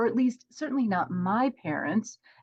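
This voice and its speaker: Somewhat breathy, a woman speaks at a fairly high pitch with very wide pitch swings. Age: 50s. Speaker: professional organizer and course creator. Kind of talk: podcast interview.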